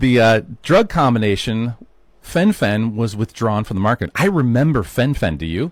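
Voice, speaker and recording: A man with a normal speaking voice talks at a fairly slow pace with lively intonation, in a dry, close sound with no echo. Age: 50s. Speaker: health podcast host. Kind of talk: solo podcast monologue. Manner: casual conversational.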